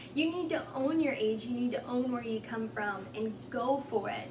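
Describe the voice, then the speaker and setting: Noticeable background noise and audible room echo surround a woman's voice. She talks at a moderate pace with ordinary pitch variation. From Texas and Oklahoma. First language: Spanish. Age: 20s. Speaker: lifestyle vlogger. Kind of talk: motivational vlog monologue. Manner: energetic.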